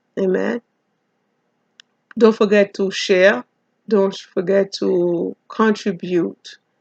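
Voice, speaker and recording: A woman's very slow, fairly even speech with long, frequent pauses, dry and close with no echo. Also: medium pitch for a woman. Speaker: pastor and Bible teacher. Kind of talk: Bible study lecture.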